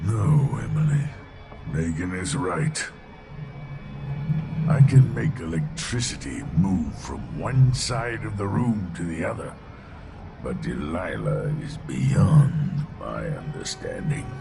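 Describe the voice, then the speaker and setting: Amid clear background noise, a man performs a put-on character voice at a fairly slow pace, with long, frequent pauses and big swings in loudness. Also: medium pitch for a man. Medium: video game.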